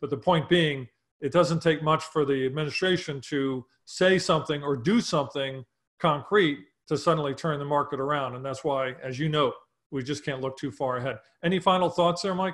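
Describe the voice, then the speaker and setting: A man talks at an even, moderate speed with normal pitch movement, the background staying quiet. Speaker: market show host. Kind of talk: interview commentary. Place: home room. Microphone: webcam.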